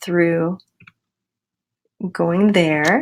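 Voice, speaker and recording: A woman talks at a fairly slow pace and fairly low pitch. She has an ordinary speaking voice. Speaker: school librarian. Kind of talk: tutorial. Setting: screen recording.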